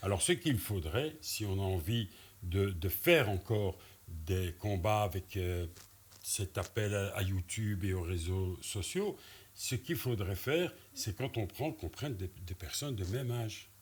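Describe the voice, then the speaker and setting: A somewhat breathy voice with lively intonation at a fairly slow pace. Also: man, fairly low pitch for a man. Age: 60s. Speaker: former boxer and film actor. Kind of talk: casual chat.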